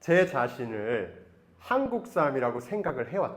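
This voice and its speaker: Pitched fairly high, a man's voice swings very widely up and down. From Taiwan, raised by Korean missionary parents. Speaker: missionary. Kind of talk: testimony.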